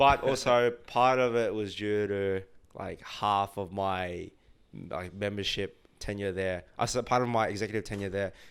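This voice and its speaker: On a very clean recording with a silent background, a man with an Australian accent speaks at a fairly low pitch with fairly even intonation. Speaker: tech sales worker. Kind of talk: casual chat. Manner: fast; many filler words.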